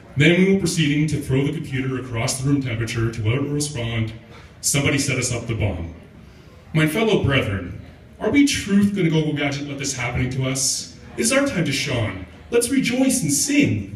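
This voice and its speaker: Very wide pitch swings mark this fairly quick delivery, heard over noticeable background noise. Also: man, fairly high pitch for a man. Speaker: spoken word poet. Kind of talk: comic spoken word performance. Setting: live open mic venue.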